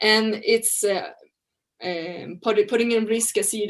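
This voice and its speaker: A woman at a fairly slow pace with a Swedish accent and fairly even intonation, over a quiet background. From Sweden. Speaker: researcher on farming and trade. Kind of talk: presentation. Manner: halting, with restarts.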